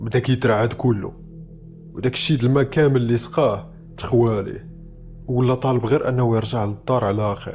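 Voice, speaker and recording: Music plays in the background while a man talks at a moderate pace. His pitch is medium and his intonation fairly even. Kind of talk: horror story narration.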